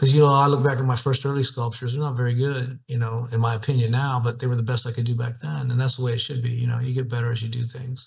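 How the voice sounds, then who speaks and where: A man speaks very fast and somewhat breathily at a medium pitch, his intonation flat and monotone, with hardly any pauses. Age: 60s. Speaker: bronze sculptor, former bull rider. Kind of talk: interview conversation. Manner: casual, folksy with fillers.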